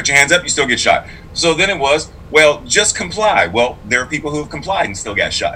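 A man with an American accent keeps up a fairly quick pace while noticeable noise runs in the background. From Pittsburgh, Pennsylvania. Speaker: clergy and sign language interpreter. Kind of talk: casual interview. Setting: video call. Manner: animated.

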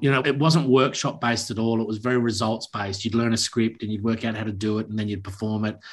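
A man talks at a very fast pace with hardly any pauses, at medium pitch and with fairly even intonation, against a quiet background. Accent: Australian. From Tasmania, Australia (Launceston). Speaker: actor and playwright. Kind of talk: interview.

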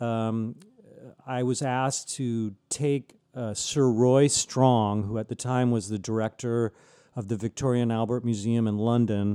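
With an American accent, a man delivers his words at medium pitch in a dark, mellow tone and monotone, flat intonation, the sound dry and close with no echo. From San Diego, California. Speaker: wine writer. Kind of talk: interview. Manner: halting, many fillers and restarts.

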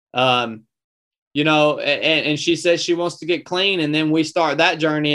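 A man with a Southern US accent, bright and sharp in tone, at a moderate pace against a quiet background. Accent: Southern US (Georgia). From North Georgia, US South. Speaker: former Navy SEAL, ultramarathon runner and podcaster. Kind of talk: casual interview conversation.

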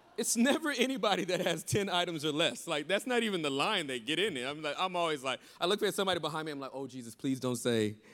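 A man talks at a very fast pace with a fairly high pitch and an animated tone. His voice is bright and sharp, with very wide pitch swings. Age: 40s. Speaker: pastor. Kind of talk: sermon. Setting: stage with audience.

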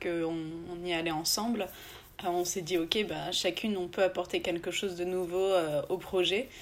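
A woman speaks at a fairly slow pace with fairly low pitch and monotone, flat intonation. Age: 20s. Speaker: entrepreneur. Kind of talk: interview.

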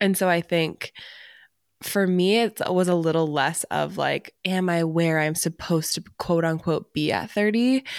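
A plain, everyday voice from a woman, fairly low in pitch with ordinary pitch variation, at a fairly slow pace, in a very clean, dry, close recording with no echo and a silent background. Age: 30s. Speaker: podcast co-host. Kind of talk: casual chat.

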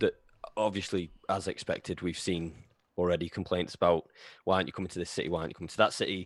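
Talking at a very fast pace, a man has a very deep, low pitch and a Lancashire accent. The recording is very clean, with a silent background. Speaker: podcast host, fan page runner. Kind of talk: casual chat.

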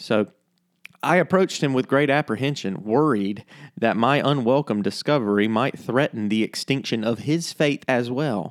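Speaking in an unremarkable speaking voice, a man keeps a moderate pace, medium pitch, ordinary pitch variation and very even loudness, with a dry, close sound, no echo, and a very clean recording over a silent background. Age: 30s. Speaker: pastor and podcast host. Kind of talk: scripted narration.

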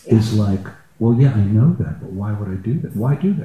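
A man's somewhat breathy voice, fairly low in pitch. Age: 60s. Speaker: retired gong musician, participant. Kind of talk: personal sharing in group session. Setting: live event with audience and roving mic.

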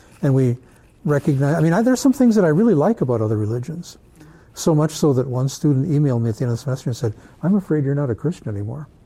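A man with a fairly high pitch speaks at a very fast pace. His tone is dark and mellow, and somewhat breathy. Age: 70s. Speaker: religion teacher leading a church class. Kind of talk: church class talk with discussion. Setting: church meeting room with group.

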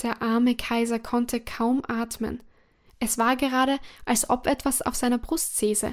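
In a very clean recording with a silent background, a woman speaks in a high, soothing voice, monotone and flat, at a fairly slow pace. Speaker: storyteller reading a fairy tale aloud. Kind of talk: bedtime story narration, gentle and calming fairy-tale reading. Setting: audio recording for listeners at bedtime. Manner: slow, soft-spoken, soothing and unhurried.

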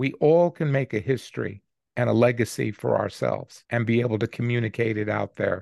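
Here a man at a medium pitch talks at a fairly quick pace with ordinary pitch variation and vocal fry. The sound is dry and close with no echo, over a quiet background. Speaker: podcast co-host. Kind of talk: commentary.

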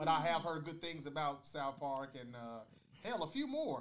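A man with an ordinary speaking voice, fairly high pitch and moderate pace. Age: 40s. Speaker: podcast host. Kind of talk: casual debate chat.

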